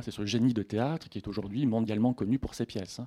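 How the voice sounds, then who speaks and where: Recorded very cleanly against a silent background, a man speaks at a medium pitch with a dark, mellow tone. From Haute-Provence, Sisteron. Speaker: literature lecturer. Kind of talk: lecture. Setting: bookshop stage with audience.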